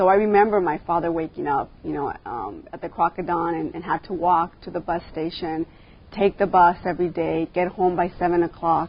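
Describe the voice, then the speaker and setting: With a Californian accent, a woman talks at a fairly quick pace in a fairly low, monotone voice with flat intonation. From Los Angeles, San Fernando Valley (Pacoima). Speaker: school board member. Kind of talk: interview. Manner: hesitant, many fillers.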